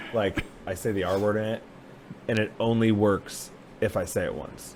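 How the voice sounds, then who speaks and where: Monotone, flat delivery at a moderate pace, over noticeable background noise. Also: man. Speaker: comedian. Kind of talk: casual chat. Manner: loud.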